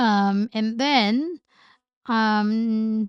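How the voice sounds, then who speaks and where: A woman with a fairly high voice is captured in a dry, close sound with no echo. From Philippines. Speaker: entrepreneur. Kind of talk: casual chat.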